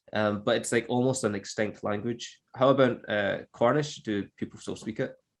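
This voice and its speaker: Hardly pausing, a man speaks at a moderate pace and medium pitch with fairly even intonation. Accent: Scottish. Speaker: English teacher. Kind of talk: podcast conversation.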